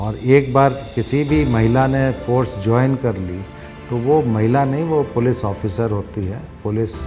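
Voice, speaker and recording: Music plays in the background as a man speaks at medium pitch with ordinary pitch variation. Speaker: police commissioner. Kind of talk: interview answer.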